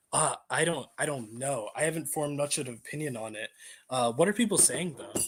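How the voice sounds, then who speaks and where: An unremarkable speaking voice with lively intonation at a fairly quick pace, in a very clean recording with a silent background. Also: man, fairly high pitch for a man. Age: 18. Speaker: random video chat participant. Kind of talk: casual debate.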